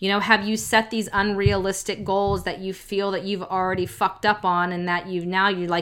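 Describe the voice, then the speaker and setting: A woman speaks with a medium pitch. Her pace is fairly quick. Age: 40s. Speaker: lifestyle coach and yoga teacher. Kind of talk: casual solo monologue. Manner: animated.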